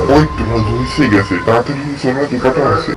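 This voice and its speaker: Using a cartoonish character voice, a man speaks at a medium pitch and a moderate pace while music plays clearly in the background. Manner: anxious, urgent.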